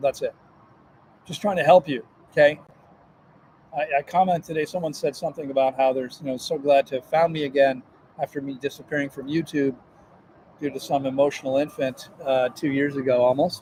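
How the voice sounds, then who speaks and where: A man's fairly high voice at a fairly quick pace, broken by long, frequent pauses. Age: 60s. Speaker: health and fasting coach, livestream host. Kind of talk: live-stream monologue. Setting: live stream from a grocery store. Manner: animated; halting, with repeated words.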